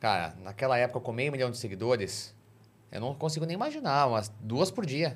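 This man talks at a fairly quick pace in a somewhat breathy voice of medium pitch, with lively intonation. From Brazil. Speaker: podcast host. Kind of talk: casual interview.

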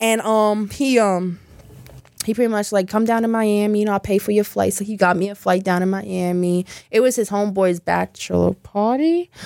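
A woman with an American accent uses an ordinary speaking voice. Her pitch is medium, with ordinary pitch variation, at a moderate pace. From Louisiana, US South. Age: 20s. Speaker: adult entertainer and content creator. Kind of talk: casual interview chat. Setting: studio.

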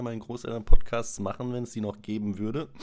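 A man with a plain, everyday voice, fairly low in pitch, at a moderate pace. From Freiburg, southwest Germany. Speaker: podcast guest. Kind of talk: casual chat.

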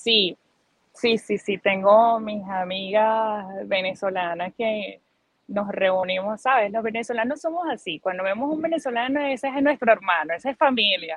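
A woman talks at a fairly slow pace with a fairly high voice. Her intonation is lively. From Venezuela, Barinas plains (Socopó). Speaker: migrant interviewee. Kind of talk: testimony. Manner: animated.

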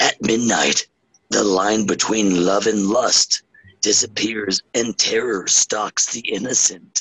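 Putting on a character voice, a man delivers a fairly low-pitched flat monotone at a fairly slow pace, recorded dry and close with no echo. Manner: dramatic, announcer-style.

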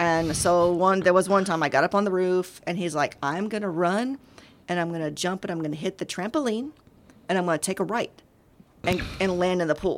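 In an American accent, a woman speaks at a medium pitch and a fairly quick pace. Her pitch varies in an ordinary way. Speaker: gym owner. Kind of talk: casual chat. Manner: talkative.

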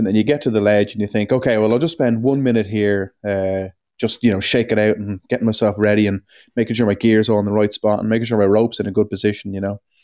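In an Irish accent, a man talks very fast in a fairly low, dark, mellow voice with fairly even intonation. The sound is dry and close with no echo, over a quiet background. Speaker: climbing podcast co-host. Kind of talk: casual chat.

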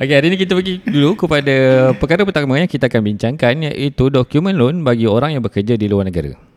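At a very fast pace, a man with a fairly high pitch speaks with lively intonation and very even loudness. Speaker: podcast co-host. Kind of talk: casual podcast chat.

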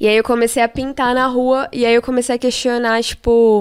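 On a very clean recording with a silent background, a woman speaks in an ordinary speaking voice at a fairly high pitch and a moderate pace. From São Paulo metro area (ABC Paulista, Taboão da Serra). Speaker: illustrator and graffiti artist. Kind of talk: casual chat.

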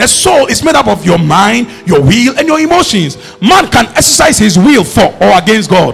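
Over noticeable background noise, a man with a high voice speaks at a moderate pace with hardly any pauses, very even loudness, very wide pitch swings and an animated tone. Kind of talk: sermon, preacher in full flow teaching from scripture. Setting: church with a congregation. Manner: animated, call-and-response, urging the congregation to repeat lines; emphatic, repetitive rhythmic build-up.

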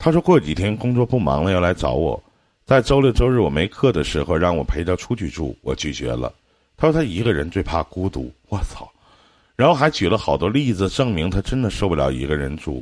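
At a fairly quick pace, a man with a very deep, low voice and vocal fry speaks with very wide pitch swings. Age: 30s. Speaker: radio host giving relationship advice. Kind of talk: live call-in advice show. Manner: animated.

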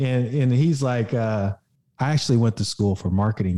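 A somewhat breathy man with an American accent talks at a moderate pace, medium in pitch and dark and mellow in tone. The recording is very clean, with a silent background. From Oklahoma (Muskogee). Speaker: entrepreneur and fitness coach. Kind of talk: casual interview chat.

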